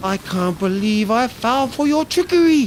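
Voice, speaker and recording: A cartoonish character voice speaks at a moderate pace with a fairly high pitch over clear background noise. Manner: grand, imperious.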